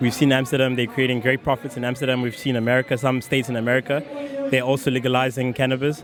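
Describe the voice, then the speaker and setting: A man's medium-pitched, monotone voice at a very fast pace, with noticeable background noise behind it. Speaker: student. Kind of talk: street interview.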